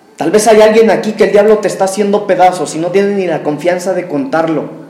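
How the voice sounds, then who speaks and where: A man's high-pitched voice at a fairly quick pace, with ordinary pitch variation, audible room echo and noticeable background noise. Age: 30s. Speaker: preacher. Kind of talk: sermon.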